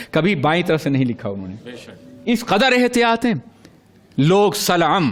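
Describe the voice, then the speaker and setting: A man speaks in a high, passionate voice with very wide pitch swings. Noticeable background noise runs behind him. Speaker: Islamic scholar giving a religious sermon. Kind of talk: religious sermon (bayan) to an audience. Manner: passionate, oratorical, emphatic.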